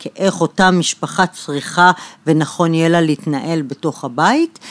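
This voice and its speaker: At a fairly slow pace, a woman speaks at a very deep, low pitch, in a dry, close sound with no echo. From Israel, Bat Yam. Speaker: architect and interior designer, podcast host. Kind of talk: interview about her life and work. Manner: halting, with repetitions.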